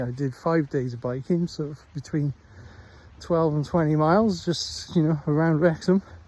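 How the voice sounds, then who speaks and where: A man speaks with a slight Welsh accent at a moderate pace. His tone is dark and mellow, somewhat breathy. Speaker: stroke survivor vlogger, former teacher. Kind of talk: casual vlog monologue. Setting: outdoors walking the dog. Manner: halting, with many fillers.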